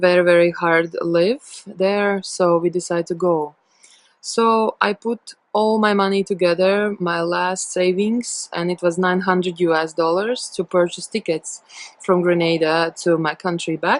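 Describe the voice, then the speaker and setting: A woman's fairly low voice with a Latvian accent, fairly slow and fairly even in intonation, in a dry, close sound with no echo. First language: not English (third language). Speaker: storyteller sharing a personal testimony. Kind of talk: testimony. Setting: self-recorded video. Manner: halting, with many fillers.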